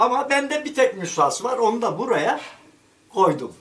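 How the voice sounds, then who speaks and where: This is a man's voice. His pitch variation is ordinary. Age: 70s. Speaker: retired local journalist and writer. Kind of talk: interview answer. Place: home room. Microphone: camera far.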